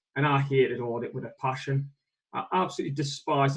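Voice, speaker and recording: The speaker is a man with a northeast English accent. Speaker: accountant, firm owner. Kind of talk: webinar interview.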